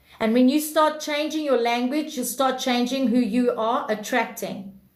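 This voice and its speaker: This woman's voice is high-pitched and loud. She keeps a moderate pace, and her pitch varies in an ordinary way. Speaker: livestream self-improvement host. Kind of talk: casual livestream chat.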